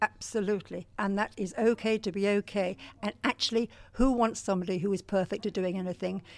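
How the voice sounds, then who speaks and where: A woman with an English accent speaks at a medium pitch. Her pace is very fast. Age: 60s. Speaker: life coach. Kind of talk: interview.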